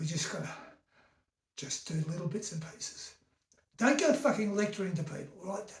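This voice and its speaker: With an Australian accent and a high pitch, a man speaks at a moderate pace with lively intonation and long, frequent pauses amid audible room echo. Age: 70s. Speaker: vlogger. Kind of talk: casual rant. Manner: animated.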